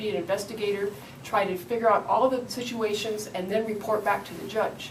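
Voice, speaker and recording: In an American accent, a woman speaks at a moderate pace with a fairly high pitch and fairly even intonation. Audible room echo and noticeable background noise are present. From Michigan. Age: 50s. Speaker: city council candidate. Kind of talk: interview.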